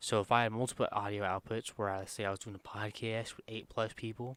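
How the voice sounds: A man speaks quietly at a fairly quick pace, his pitch fairly low with little movement. His tone is clear, smooth and fairly bright.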